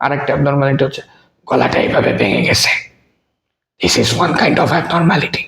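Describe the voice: Speaking in a put-on character voice, a man talks at a fairly quick pace with a fairly high pitch that sounds hoarse and raspy.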